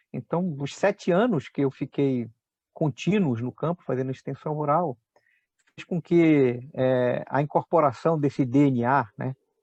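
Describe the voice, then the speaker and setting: The sound is dry and close, with no echo and a quiet background. The speaker goes at a fairly slow pace with ordinary pitch variation. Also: man. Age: 60s. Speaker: agronomist, agricultural researcher. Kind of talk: interview. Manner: hesitant, many fillers.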